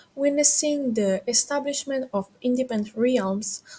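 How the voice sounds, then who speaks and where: A woman with a non-native accent talks at a fairly slow pace, her tone dark and mellow. Her voice is somewhat breathy, with lively intonation. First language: not English. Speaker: history student. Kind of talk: educational history explainer.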